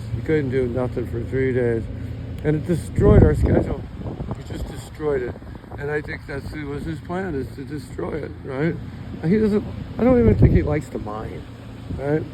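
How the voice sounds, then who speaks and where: A man talks over noticeable background noise with long, frequent pauses. His pitch swings very widely and his loudness shifts a lot. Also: medium pitch for a man, moderate pace. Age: 60s. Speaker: gold miner. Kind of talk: casual talk to camera. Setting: outdoors.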